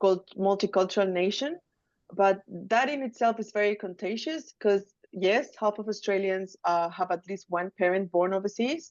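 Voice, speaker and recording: At a moderate pace, a woman with a Chilean accent speaks at a medium pitch with ordinary pitch variation. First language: Spanish. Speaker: academic researcher. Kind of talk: academic webinar presentation. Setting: video call.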